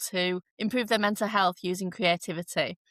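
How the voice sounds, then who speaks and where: In a Yorkshire accent, a woman talks at a medium pitch with ordinary pitch variation, recorded very cleanly against a silent background with a dry, close sound and no echo. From northern England, Leeds, Yorkshire. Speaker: art therapist and artist. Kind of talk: podcast interview.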